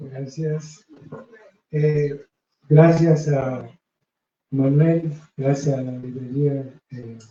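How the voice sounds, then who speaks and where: Soft-spoken and somewhat breathy, the voice has a dark, mellow tone, monotone, flat intonation, a very slow pace and long, frequent pauses. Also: man, fairly high pitch for a man, big swings in loudness. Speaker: poet and author. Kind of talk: book presentation speech. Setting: bookstore event with audience.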